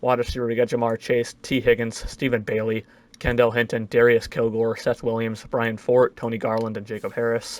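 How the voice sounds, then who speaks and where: The voice belongs to a man speaking at a medium pitch. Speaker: gaming YouTuber. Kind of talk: gameplay commentary. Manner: fast; casual.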